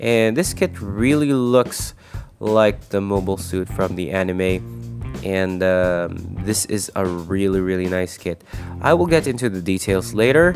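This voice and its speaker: A fairly slow delivery with music in the background. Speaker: model kit reviewer. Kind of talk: casual product review narration.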